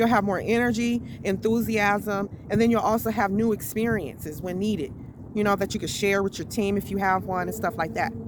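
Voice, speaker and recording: Noticeable background noise sits behind a woman's medium-pitched voice. She speaks at a fairly quick pace with fairly even intonation. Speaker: network marketing coach. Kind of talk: motivational talk. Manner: loud.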